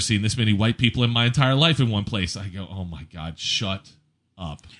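Using a plain, everyday voice, a man speaks at a moderate pace with lively intonation. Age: 40s. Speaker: podcast co-host and DJ. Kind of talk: casual chat.

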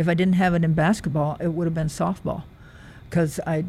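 With an American accent, a woman speaks at a fairly low pitch. Her tone is dark, mellow and somewhat breathy. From US Midwest, rural Nebraska. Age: 70s. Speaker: retired track athlete and coach. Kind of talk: interview. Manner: halting.

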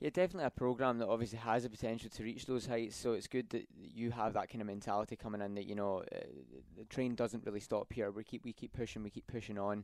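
Speaking at a very fast pace, a man uses a medium-pitched voice with ordinary pitch variation. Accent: Scottish. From Scotland, Glasgow. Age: 20s. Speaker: student athlete and podcast host. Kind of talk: casual interview. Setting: studio.

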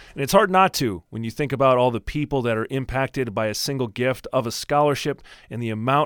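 A man with a plain, everyday voice speaks at a medium pitch with ordinary pitch variation. The recording is very clean, with a silent background and a dry, close sound without echo. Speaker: college sports podcast host. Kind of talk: scripted podcast intro and outro.

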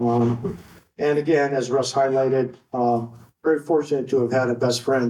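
Dark, mellow tone with fairly even intonation. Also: man. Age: 60s. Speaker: retired water polo coach. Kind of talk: induction speech. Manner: long-winded, casual.

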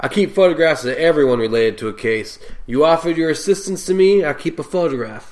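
In a put-on character voice, a man talks very fast with a gruff sound, a fairly high pitch and lively intonation. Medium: audio drama. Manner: gruff, crude, sarcastic.

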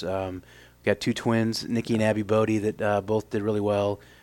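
In an American accent, the speaker talks at a fairly quick pace with monotone, flat intonation. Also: man. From Illinois, US Midwest. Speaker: college softball head coach. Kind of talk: interview. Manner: hesitant, many fillers.

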